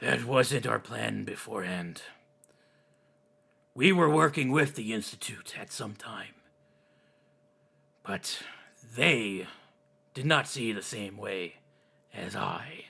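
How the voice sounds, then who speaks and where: A man does a raspy put-on character voice at a fairly slow pace, with lively intonation, big swings in loudness and long, frequent pauses. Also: medium pitch for a man. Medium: actual play. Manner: earnest, defensive.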